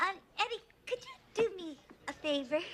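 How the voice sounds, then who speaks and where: Putting on a squeaky character voice at an extremely high pitch, a woman swings her pitch very widely while keeping a moderate pace. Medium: short film. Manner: sassy, sarcastic.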